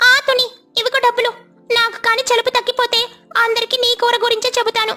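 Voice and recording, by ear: A woman performs a cartoonish character voice at an extremely high pitch. Her intonation is monotone and flat, and her pace is moderate.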